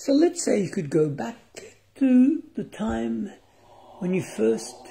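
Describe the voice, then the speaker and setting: Over noticeable background noise, a man speaks in a calm tone with lively intonation. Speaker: meditation guide. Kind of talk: guided meditation. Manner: slow, calm, formal; long silent pauses.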